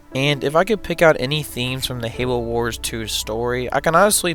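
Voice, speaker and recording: With music playing in the background, a man speaks at a fairly quick pace, medium in pitch with ordinary pitch variation. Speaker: video game reviewer. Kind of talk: game review narration.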